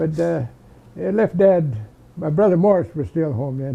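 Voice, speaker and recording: Somewhat breathy, a man talks at a moderate pace in a fairly high pitch with a dark, mellow tone. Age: 80s+. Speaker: war veteran. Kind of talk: oral history interview. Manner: halting.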